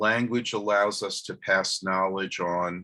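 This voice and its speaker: A man with a New York accent speaks very slowly in a fairly low pitch. His tone is bright and sharp, his intonation fairly even. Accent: New York American. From US, New York. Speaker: professor. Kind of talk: lecture. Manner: slow, hesitant with fillers.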